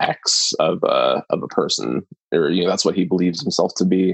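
Heard as a dry, close sound with no echo, a man is speaking. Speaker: podcast co-host, film discussion. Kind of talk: casual chat. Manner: hesitant, filler-heavy.

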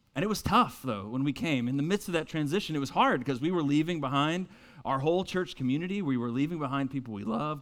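On a very clean recording with a silent background, a man with an American accent talks at a very fast pace and fairly high pitch with lively intonation. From North Carolina (Winston-Salem). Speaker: pastor. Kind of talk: sermon.

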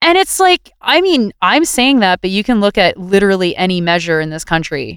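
With a Canadian accent, a woman speaks in very wide pitch swings, recorded with a dry, close sound and no echo. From Ontario, Greater Toronto Area. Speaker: writer and activist. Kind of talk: casual interview. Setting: video call.

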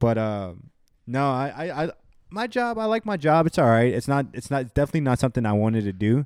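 Talking at a very fast pace, a man uses a medium pitch with very wide pitch swings. The recording is very clean with a silent background and a dry, close sound with no echo. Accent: American. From Houston, Texas. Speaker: recent graduate, data analyst. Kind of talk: casual chat. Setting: apartment.

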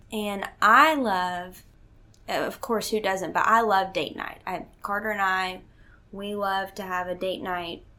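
A woman speaks very slowly in a medium pitch with a bright, sharp tone and fairly even intonation, with audible room echo around her. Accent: Southern US. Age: 20s. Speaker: host's daughter, works at relationship nonprofit. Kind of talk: casual chat. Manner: laughs often.

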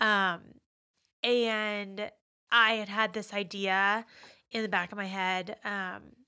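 On a very clean recording with a silent background, a woman with an American accent speaks at a medium pitch in a bright, sharp tone. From Pittsburgh, Pennsylvania. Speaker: marketing professional sharing faith testimony. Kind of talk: faith testimony in casual interview. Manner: hesitant, many fillers.

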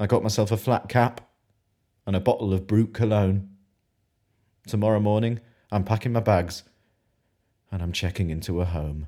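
On a very clean recording with a silent background, a man speaks at a moderate pace with long, frequent pauses. His fairly low voice has a dark, mellow tone and fairly even intonation. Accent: British. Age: 20s. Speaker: spoken word poet. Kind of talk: spoken word poetry performance.

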